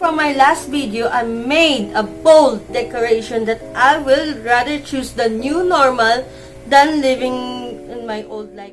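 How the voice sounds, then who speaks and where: Music plays in the background as a woman speaks at a fairly slow pace. Her high pitch carries ordinary pitch variation. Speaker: teacher. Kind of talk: casual talk to camera. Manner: mumbling.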